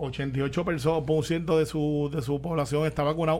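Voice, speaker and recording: A man with a fairly high pitch sounds somewhat breathy and speaks in a flat monotone. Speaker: radio show panelist. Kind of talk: casual chat.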